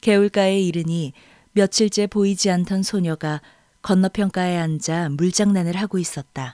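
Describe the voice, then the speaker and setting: A woman speaks with a calm, gentle tone that is dark and mellow, at a moderate pace with fairly even intonation. The sound is dry and close with no echo, very clean against a silent background. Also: medium pitch for a woman. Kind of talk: audiobook reading of a literary novel, third-person narration. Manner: measured, calm storyteller pace with gentle, expressive narration.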